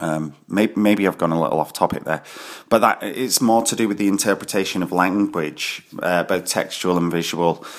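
Here a man speaks with a very deep, low pitch. His pitch variation is ordinary. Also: moderate pace. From Scotland, Glasgow. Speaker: graphic designer and bookshop co-director. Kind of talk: recorded monologue interview answers. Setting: at home in his kitchen. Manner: halting, many fillers and repetitions.

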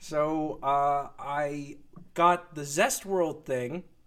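Fairly high-pitched, a man speaks with fairly even intonation. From France (Paris). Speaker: comic book creator. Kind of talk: casual interview chat.

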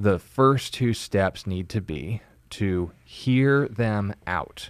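This is a man with a normal speaking voice. His pitch is fairly low, with ordinary variation. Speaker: pastor. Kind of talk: Bible teaching on a call-in show. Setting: studio.

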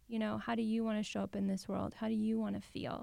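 Speaking at a very fast pace, a woman with an American accent uses a fairly high pitch and a monotone, flat intonation. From Los Angeles. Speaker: podcast host and psychotherapist. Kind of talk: scripted outro and ad; interview.

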